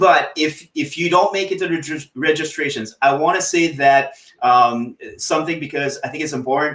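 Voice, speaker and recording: Pitched fairly high, this man's voice comes through clearly. He keeps to a moderate pace. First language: French. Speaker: TikTok coach. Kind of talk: interview on a live stream. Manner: halting, frequent repetitions.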